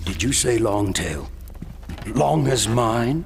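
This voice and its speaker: A man puts on a cartoonish character voice at a fairly low pitch and a very slow pace. Clear background noise is present. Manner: menacing.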